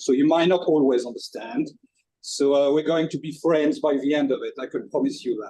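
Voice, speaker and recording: A man's fairly high voice with a dark, mellow tone, a strong French accent and lively intonation. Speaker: chef presenter. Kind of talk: webinar presentation. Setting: kitchen, online webinar.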